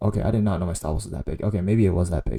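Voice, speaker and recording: Shaky and dark, mellow in tone, a man's voice moves with ordinary pitch variation. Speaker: day trader and video creator. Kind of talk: trade recap tutorial. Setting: home recording in own room. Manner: shaky voice; casual, halting with many fillers.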